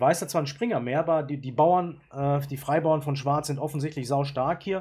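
A somewhat breathy voice speaks at a moderate pace with ordinary pitch variation. The recording is very clean with a silent background. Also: man. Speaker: chess YouTuber and player. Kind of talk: chess game analysis. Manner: casual, with frequent filler sounds.

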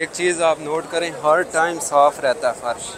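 A man speaks at a fairly slow pace with fairly even intonation, in a dry recording with no echo but noticeable background noise. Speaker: travel vlogger. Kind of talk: casual vlog chat. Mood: cheerful, curious. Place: street. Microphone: lapel.

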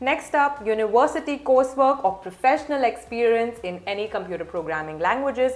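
Her pitch fairly high, a woman talks at a fairly quick pace with lively intonation. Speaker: admissions consultant. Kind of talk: tutorial. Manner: formal. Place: home room.

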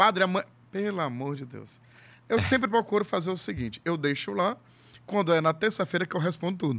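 A man talks at a fairly quick pace. His high-pitched voice has lively intonation. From Ceará, Brazil (Fortaleza area); Ceará, Brazil. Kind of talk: casual chat. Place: studio. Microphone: studio mic.

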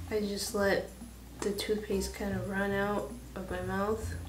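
Over clear background music, a woman speaks amid audible room echo. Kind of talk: casual vlog chat. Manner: slow, low-energy speech with limited mouth movement. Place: home room. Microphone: phone near.

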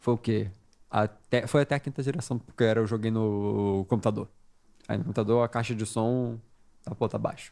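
Against a quiet background, a man speaks with a medium pitch and a dark, mellow tone. His pace is moderate and his intonation fairly even. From Brazil. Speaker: gaming podcast guest; podcast guest. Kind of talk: casual chat. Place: studio. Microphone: studio mic.

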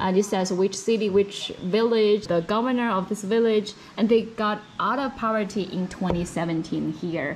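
Against noticeable background noise, the speaker uses a Chinese accent and fairly even intonation. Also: woman. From China. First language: Mandarin Chinese. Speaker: journalist. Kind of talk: webinar talk.

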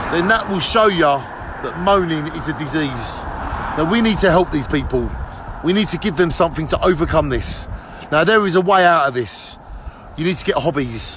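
A man talks at a moderate pace with lively intonation. The sound is dry with no echo, though background noise is noticeable. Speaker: vlogger. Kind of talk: opinion rant vlog. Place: street. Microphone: phone near.

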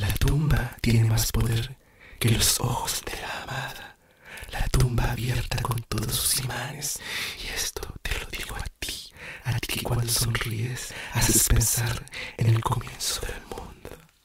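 Soft-spoken man at a very slow pace amid loud background noise. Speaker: poetry reader. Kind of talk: poetry reading. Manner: soft, hushed ASMR poetry reading. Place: home room.

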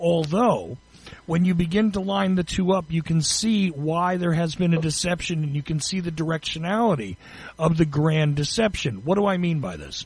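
The pitch rises and falls in an ordinary way. The pace is moderate. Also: man, high pitch for a man. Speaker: radio host. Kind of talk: radio interview. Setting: studio.

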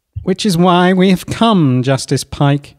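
Putting on a robotic character voice, a man speaks fairly slowly at a high pitch. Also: ordinary pitch variation. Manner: formal.

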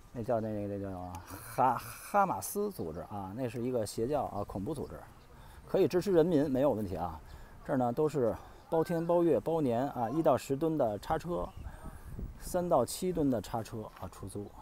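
A man's voice makes very wide pitch swings. It sounds dry with no echo, with light background noise. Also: moderate pace. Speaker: travel vlogger. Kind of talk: travel vlog narration, walking tour. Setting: outdoors on location. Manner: conversational, casual, with filler sounds. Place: street. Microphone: phone near.

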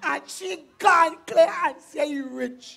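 Using a put-on character voice, a woman speaks slowly at a high pitch with a fairly bright tone, vocal fry, and ordinary pitch variation.

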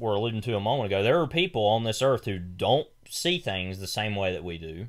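A man with an unremarkable speaking voice and medium pitch talks at a moderate pace with lively intonation. The recording is very clean, with a silent background. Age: 20s. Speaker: podcast co-host, film commentator. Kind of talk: casual chat.

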